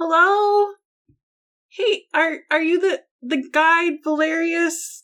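A woman puts on a squeaky character voice with an extremely high pitch. She speaks at a very slow pace. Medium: actual play.

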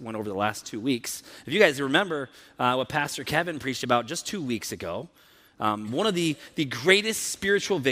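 A reading delivered in an unforced voice

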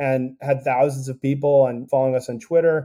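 A man talks at a fairly quick pace. His intonation is flat and monotone. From US Northeast (Connecticut). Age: 40s. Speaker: tech startup founder. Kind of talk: interview conversation.

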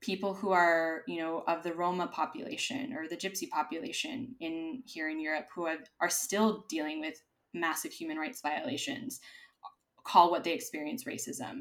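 A woman talks at a moderate pace. Her fairly low voice moves through very wide pitch swings. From US, Los Angeles, California. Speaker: DEI consultant. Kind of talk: interview conversation. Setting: remote recording from Madrid.

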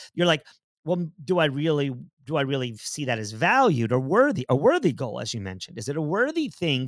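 A man talks at a fairly quick pace. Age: 50s. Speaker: podcast host and running coach. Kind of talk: casual chat. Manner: halting with many fillers.

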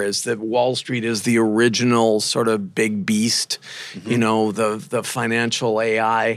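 In a plain, everyday voice, a man talks at a fairly slow pace and medium pitch. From US Midwest (rural Minnesota). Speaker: professor. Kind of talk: interview.

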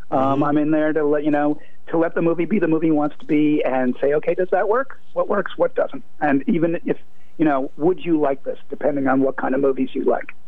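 In an American accent, the speaker talks fairly quickly with ordinary pitch variation, over noticeable background noise and audible room echo. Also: man, fairly high pitch for a man. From Boston area (Brookline). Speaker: film critic. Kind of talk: radio interview.

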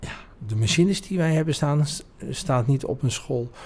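With a dark, mellow tone and lively intonation, a man speaks at a fairly slow pace, somewhat breathy. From Netherlands, North Brabant (Oudheusden). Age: 50s. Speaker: business owner. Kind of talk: interview. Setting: office.

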